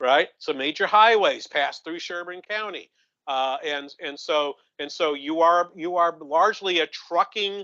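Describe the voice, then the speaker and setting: A bright, sharp tone in a New England accent, at a fairly slow pace with ordinary pitch variation. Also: man, dry, close sound with no echo. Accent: New England accent, noticeable. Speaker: economist. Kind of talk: conference presentation. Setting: conference room with audience. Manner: halting, many repetitions.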